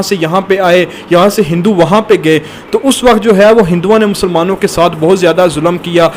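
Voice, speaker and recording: A man's high-pitched voice with fairly even intonation, over noticeable background noise. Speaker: news channel host. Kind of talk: news-style report to camera.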